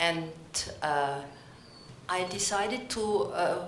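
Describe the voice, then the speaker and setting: With an Austrian accent, the speaker talks at a very slow pace and ordinary pitch variation, amid noticeable background noise and audible room echo. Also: woman. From Austria, Vienna. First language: German. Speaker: philosopher and theatre academic. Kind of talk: conference talk read from notes.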